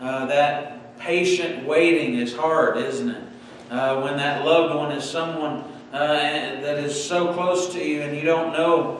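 Amid strong room echo and light background noise, a man speaks at a very slow pace with fairly even intonation. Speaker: pastor. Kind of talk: sermon. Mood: warm, earnest. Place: church. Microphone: podium.

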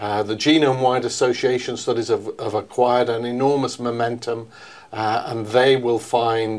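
In a monotone, flat intonation, a man talks at a moderate pace. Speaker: interviewee. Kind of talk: interview answer. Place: meeting room. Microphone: lapel.

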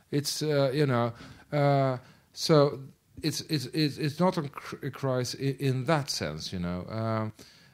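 Over a quiet background, a man with a Swedish accent speaks very slowly at a fairly high pitch. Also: ordinary pitch variation. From Sweden. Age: middle-aged. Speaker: film director. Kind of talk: Q&A after a screening. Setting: stage with audience. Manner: halting. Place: hall.

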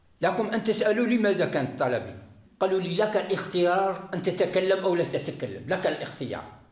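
A man speaks with a high pitch. The background is quiet, though room echo is audible. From Algeria. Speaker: arrested militant giving confession. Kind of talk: recorded confession. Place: home room. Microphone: lapel.

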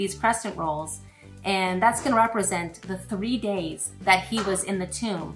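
A woman talks at a moderate pace with faint music in the background. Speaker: presenter. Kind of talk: cooking demo with Bible lesson for kids. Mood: warm, encouraging. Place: kitchen.

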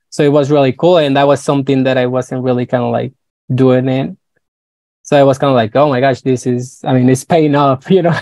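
Over a quiet background, a man with a Spanish accent talks at a fairly quick pace in a dark, mellow tone with fairly even intonation. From northern Mexico, Nogales, Sonora; Sonora, Mexico. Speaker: creative consultant and designer; guest. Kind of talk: interview. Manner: halting, many fillers. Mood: friendly, relaxed. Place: home room. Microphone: earbuds.

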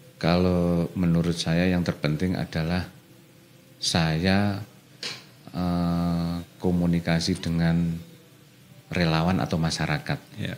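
Over light background noise, a man with a very deep, low voice speaks at a very slow pace in a flat monotone, leaving long, frequent pauses. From Indonesia, East Java. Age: young. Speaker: local politician; local politician guest. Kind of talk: radio interview. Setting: radio studio. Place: studio. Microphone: studio mic.

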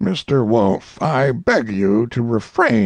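Ordinary pitch variation in plain reading aloud

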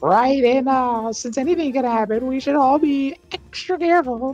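A put-on character voice at a moderate pace, with faint music in the background. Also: female-sounding voice. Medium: game stream. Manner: earnest, careful, explanatory.

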